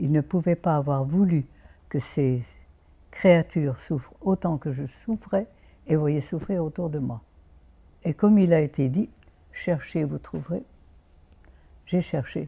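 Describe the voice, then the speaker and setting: Very slowly and with long, frequent pauses, a woman speaks at a very deep, low pitch in a dark, mellow, somewhat breathy tone, her loudness swinging widely. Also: ordinary pitch variation. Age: 90s. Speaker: naturopath. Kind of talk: interview. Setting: outdoors.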